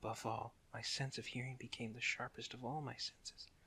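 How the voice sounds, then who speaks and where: Soft-spoken and calm, a man talks in a bright, sharp tone. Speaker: storyteller. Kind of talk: ASMR story reading. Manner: soft-spoken, calm.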